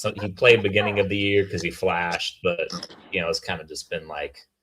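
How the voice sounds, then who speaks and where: Fairly low in pitch with a bright, sharp tone, a man talks at a fairly quick pace. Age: young. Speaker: sports podcast host. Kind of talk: casual chat.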